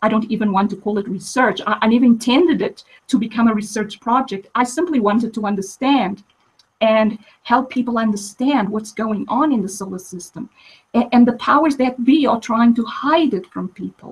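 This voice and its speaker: A woman with a fairly high pitch and ordinary pitch variation speaks at a fairly quick pace, somewhat breathy, with big swings in loudness. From international upbringing, moved around. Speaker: physicist. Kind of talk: interview. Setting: live stream.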